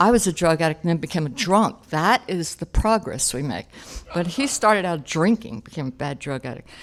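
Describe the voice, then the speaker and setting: Animated in tone, a woman with an American accent speaks at a fairly quick pace with very wide pitch swings. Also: fairly low pitch for a woman. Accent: Philadelphia accent, shows when excited. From Philadelphia, South Philly. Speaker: AA speaker. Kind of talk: recovery testimony. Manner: conversational, animated.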